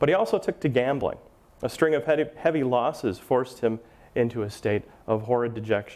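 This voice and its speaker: Speaking at a fairly quick pace with an American accent, a man keeps his loudness very even and his pitch variation ordinary. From Milwaukee, Wisconsin. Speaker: author and local historian. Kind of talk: lecture with read-aloud true-crime passages. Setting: lecture hall with live audience. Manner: conversational with filler words. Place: hall. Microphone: lapel.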